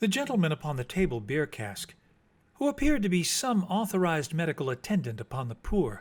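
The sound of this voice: The text is read aloud. The reading voice is unforced.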